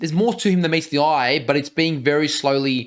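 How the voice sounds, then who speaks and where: Over a very clean recording with a silent background, a man speaks with an Australian accent at a fairly high pitch and ordinary pitch variation. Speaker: reaction video co-host. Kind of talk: casual chat.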